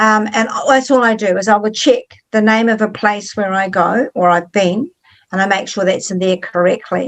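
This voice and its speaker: Fairly even intonation accompanies a moderate pace throughout. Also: woman. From New Zealand. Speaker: author. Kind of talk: interview.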